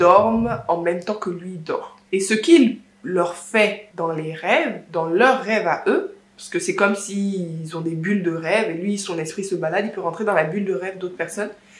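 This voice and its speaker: Noticeable background noise behind a woman speaking at a medium pitch with ordinary pitch variation. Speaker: book vlogger. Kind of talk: casual vlog book review. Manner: slow; halting.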